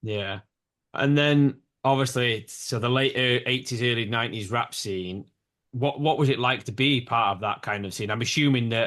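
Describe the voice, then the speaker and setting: The man talks at a medium pitch with ordinary variation. He speaks at a moderate pace with a northern English accent. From northern England. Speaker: podcast host. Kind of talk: podcast interview.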